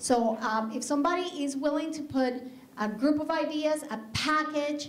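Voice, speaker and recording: In a Spanish accent, a woman speaks at a moderate pace with ordinary pitch variation, and room echo can be heard. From Colombia. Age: 40s. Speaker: skincare business owner. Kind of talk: business pitch presentation. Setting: stage with audience. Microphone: handheld.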